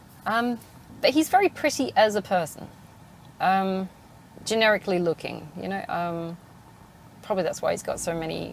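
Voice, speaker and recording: The voice belongs to a woman. She speaks with an English accent. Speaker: podcast host. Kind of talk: casual monologue. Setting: in a car. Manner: halting.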